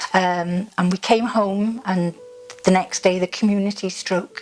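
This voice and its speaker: Against noticeable background noise, a woman with a South Welsh accent speaks at a moderate pace and medium pitch. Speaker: partner of stroke survivor. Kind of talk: interview answer.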